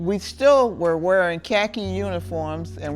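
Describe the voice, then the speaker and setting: Music behind a woman's voice in an American accent. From US South, Norfolk, Virginia. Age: 90s. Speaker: retired military nurse, war veteran. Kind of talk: oral history interview. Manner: halting, with frequent fillers.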